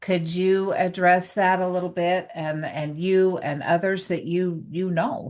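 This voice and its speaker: Hardly pausing, a woman speaks fairly slowly at a medium pitch with fairly even intonation. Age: 60s. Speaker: wellness product distributor hosting a live. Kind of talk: casual interview. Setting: Facebook live video call.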